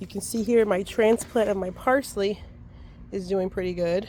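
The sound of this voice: The raspy voice has a slightly mellow tone, moving at a moderate pace with fairly even intonation. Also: woman.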